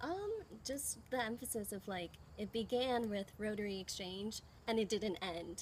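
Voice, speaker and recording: A woman with an ordinary speaking voice, fairly high in pitch, talks at a moderate pace with ordinary pitch variation. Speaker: former exchange student. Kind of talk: interview.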